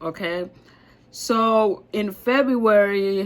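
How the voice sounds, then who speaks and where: Her accent is non-native. The woman's pitch moves in an ordinary way. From Africa. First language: not English. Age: 30s. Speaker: vlogger. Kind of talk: personal vlog. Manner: rambling, halting.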